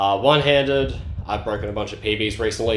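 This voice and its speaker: Over audible room echo, a man with an Australian accent speaks at a very fast pace and a fairly low pitch, using lively intonation. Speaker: speedcubing youtuber. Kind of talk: casual vlog update. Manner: casual, many fillers.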